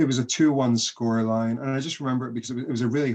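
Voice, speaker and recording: A man with a west of Scotland accent, medium pitch, a very fast pace and fairly even intonation. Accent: west of Scotland Scottish. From western Scotland, Greenock. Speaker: golf author. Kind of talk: casual interview.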